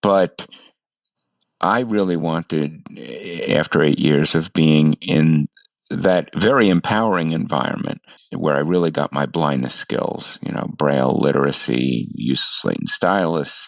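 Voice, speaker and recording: A man with a New York accent speaks at a fairly slow pace, his very deep voice edged with vocal fry. The sound is dry and close with no echo, and his pitch varies in an ordinary way. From US, New York City. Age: 70s. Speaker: ham radio operator, blind guest. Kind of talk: interview, life story.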